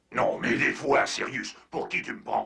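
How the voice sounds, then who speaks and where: In a raspy, cartoonish character voice, a man speaks at a fairly slow pace. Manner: curt, cool.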